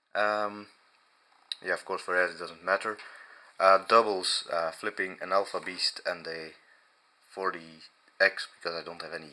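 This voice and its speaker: A man speaks with long, frequent pauses. His loudness swings a lot. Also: moderate pace. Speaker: knife reviewer. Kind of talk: casual talk to camera. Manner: hesitant, many fillers.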